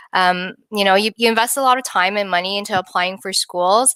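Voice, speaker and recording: The voice has a bright, sharp tone and moves at a very fast pace. The sound is dry and close with no echo, in a very clean recording with a silent background. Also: woman. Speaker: licensed immigration consultant. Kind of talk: live-stream Q&A presentation. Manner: filler-heavy, hesitant.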